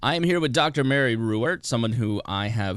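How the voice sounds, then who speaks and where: Here a man with an American accent speaks at a moderate pace, with a medium pitch and ordinary pitch variation. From Indiana. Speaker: podcast host. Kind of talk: interview conversation.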